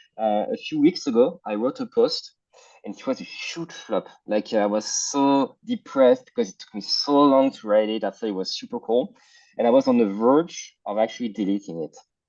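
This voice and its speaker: A man with a French accent at a moderate pace, big swings in loudness, dry, close sound with no echo. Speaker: startup co-founder and CEO. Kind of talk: webinar interview. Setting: video call.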